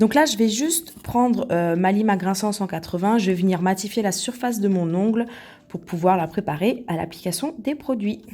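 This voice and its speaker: A woman speaks with a dark, mellow tone at a medium pitch. Her pace is moderate and her intonation lively. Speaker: nail technician. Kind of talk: tutorial. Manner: soft-spoken; casual.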